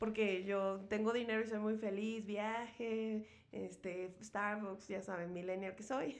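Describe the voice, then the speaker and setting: In an audible room echo, a woman at medium pitch talks very slowly in a monotone, flat way with hardly any pauses. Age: 30s. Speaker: podcast host. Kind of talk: casual chat.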